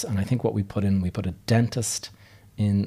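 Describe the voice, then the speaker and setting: A man's very deep, low voice with a dark, mellow tone and an Irish accent, in a very clean recording with a silent background. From Ireland. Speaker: podcast host, real estate investor. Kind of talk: solo podcast monologue. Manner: casual, with frequent fillers.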